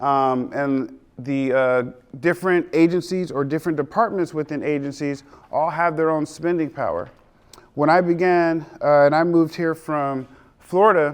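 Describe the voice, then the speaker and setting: At a moderate pace, the speaker uses a plain, everyday voice with fairly even intonation. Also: man. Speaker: small business adviser and roofing contractor. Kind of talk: seminar lecture.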